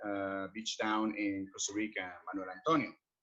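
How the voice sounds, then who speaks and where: A man with a fairly low pitch and a Colombian accent. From Colombia, Cali. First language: Spanish. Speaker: expat services entrepreneur. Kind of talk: podcast interview. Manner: halting.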